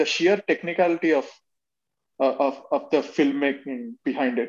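High-pitched and with a Telugu accent, a man speaks at a fairly quick pace. His intonation is lively. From India, Telangana (Warangal). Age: 20s. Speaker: podcast guest. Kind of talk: casual chat.

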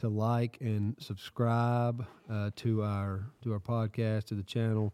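A fairly low-pitched man's voice, dark and mellow, with a Southern US accent, monotone, flat intonation and a very clean recording over a silent background. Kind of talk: casual chat and Bible discussion. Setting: recording in a shop with small audience.

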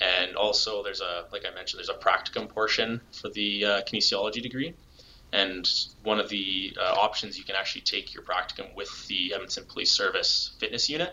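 Noticeable background noise runs under the recording. A man with a Canadian accent speaks at a fairly quick pace. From Alberta, Canada. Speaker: police crime scene investigator. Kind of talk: interview.

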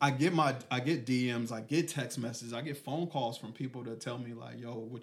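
Talking at a fairly quick pace, a man with an American accent uses a normal speaking voice at a medium pitch. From Killeen, Texas. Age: 40s. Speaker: podcast host, life coach. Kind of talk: casual podcast conversation. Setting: on location in hometown.

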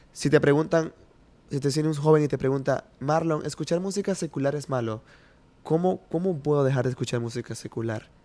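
The man's tone is dark and mellow, his pitch fairly high. He talks at a fairly quick pace with ordinary pitch variation. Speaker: podcast host. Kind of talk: casual interview chat. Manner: warm, enthusiastic.

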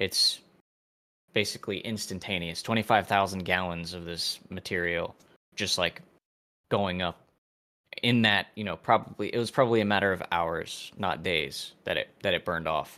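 A man's very deep, low pitch with a bright, sharp tone, fairly even intonation, a moderate pace and long, frequent pauses. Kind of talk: casual chat.

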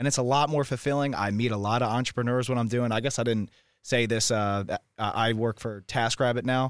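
A man with a plain, everyday voice and an American accent, fairly quick pace and ordinary pitch variation, on a very clean recording with a silent background. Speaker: bartender. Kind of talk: casual chat.

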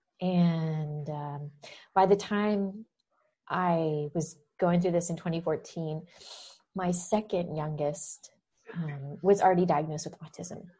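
With a dark, mellow tone and fairly low pitch, a woman speaks somewhat breathily at a very slow pace, with fairly even intonation and long, frequent pauses. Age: 40s. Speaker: nutrition health coach and podcast host. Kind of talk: interview answers, casual chat.

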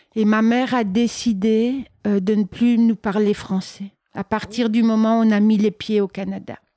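A woman at a fairly high pitch with a dark, mellow tone, monotone, flat intonation and a moderate pace, in a dry, close sound with no echo. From Belgium. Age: 50s. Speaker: artist. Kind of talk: interview. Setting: artist's studio.

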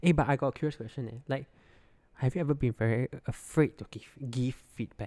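Medium-pitched male voice with a Singaporean accent, dark and mellow in tone, fairly quick, with big swings in loudness. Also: ordinary pitch variation, very clean recording, silent background. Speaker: product designer. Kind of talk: casual chat.

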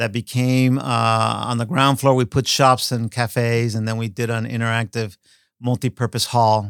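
A man with an American accent talks in a monotone, flat voice, in a dry, close sound with no echo and a very clean recording with a silent background. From Miami, Florida (Cuban-born). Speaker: architect. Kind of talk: casual interview.

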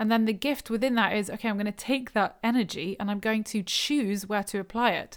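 This is a normal speaking voice at a moderate pace with fairly even intonation, captured in a very clean recording against a silent background. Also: woman. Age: 30s. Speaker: spiritual podcast host. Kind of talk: solo talk. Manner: casual and reflective, with laughter.

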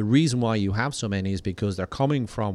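A man with an Irish accent speaks at a very fast pace in a fairly low voice. The recording is very clean with a silent background and a dry, close sound with no echo. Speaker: diplomat. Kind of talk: casual chat. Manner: halting, many repeated words.

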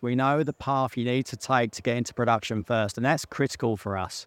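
Against a quiet background, a man's medium-pitched voice shows ordinary pitch variation, with a dry, close sound and no echo. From England, North London. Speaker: mining company CEO. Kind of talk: interview. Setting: outdoors at a conference event.

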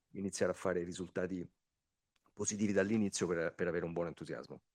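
Dry and close with no echo, the sound has a quiet background. A man speaks in a dark, mellow tone. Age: 40s. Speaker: amateur football coach. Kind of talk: interview. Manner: hesitant, repeats words.

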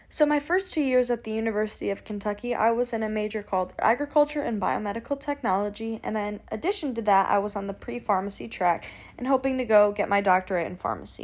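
On a very clean recording with a silent background, a woman with an American accent speaks very fast at a fairly high pitch, with ordinary pitch variation and hardly any pauses. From US Midwest (Illinois). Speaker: student sorority officer. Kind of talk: podcast interview.

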